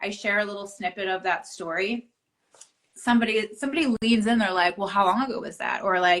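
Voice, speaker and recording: Speaking at a fairly quick pace, a woman uses a normal speaking voice with ordinary pitch variation. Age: 30s. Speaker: author and entrepreneur. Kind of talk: casual interview chat. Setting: Instagram live video.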